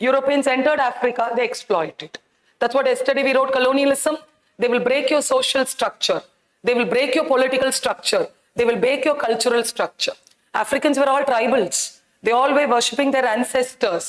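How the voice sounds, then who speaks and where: A high-pitched woman speaks at a fairly quick pace with very even loudness and ordinary pitch variation. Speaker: teacher. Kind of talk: lecture. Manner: animated.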